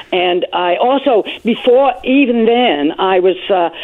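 Ordinary pitch variation from a female speaker, noticeable background noise behind her. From Britain. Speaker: AIDS activist. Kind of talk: interview.

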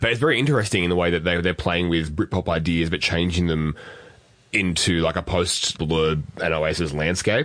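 With an Australian accent, the speaker holds a moderate pace and ordinary pitch variation. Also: man, very deep, low pitch for a man. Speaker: podcast co-host. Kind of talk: casual chat.

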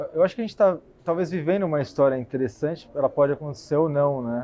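Ordinary pitch variation and a fairly quick pace from a man. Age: 20s. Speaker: equity analyst. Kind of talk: casual chat. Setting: café.

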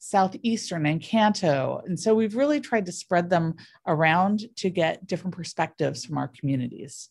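A woman with a Californian accent speaks at a moderate pace, her fairly low voice somewhat breathy and her intonation lively. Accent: Californian American. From US, San Diego. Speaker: city government official. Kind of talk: interview. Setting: studio.

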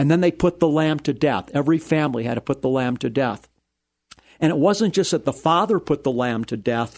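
Against a quiet background, the speaker has an unremarkable speaking voice with ordinary pitch variation. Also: man. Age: 60s. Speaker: rabbi and radio Bible teacher. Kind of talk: radio interview. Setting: studio.

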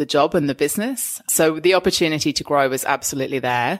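In a very clean recording with a silent background, a woman speaks with an English accent. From England. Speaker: podcast host, hospitality and food events professional. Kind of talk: casual interview chat. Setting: studio.

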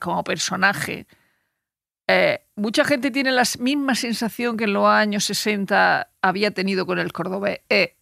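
A woman's medium-pitched voice with vocal fry, a bright, sharp tone, ordinary pitch variation and a fairly slow pace, dry and close with no echo. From Murcia, Spain. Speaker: journalist. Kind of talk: casual chat. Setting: studio.

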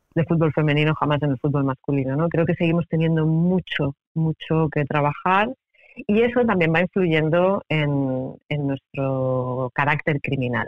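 At a fairly slow pace, a woman speaks in a very deep, low pitch with very even loudness. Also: ordinary pitch variation. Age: 40s. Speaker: sociologist and criminologist, author. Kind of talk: interview. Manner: hesitant, repeats words.

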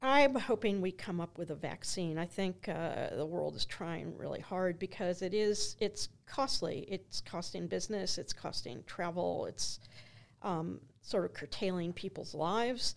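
The pitch moves in an ordinary way. Vocal fry runs through the voice. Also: woman, medium pitch for a woman. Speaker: archaeology professor. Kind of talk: interview conversation.

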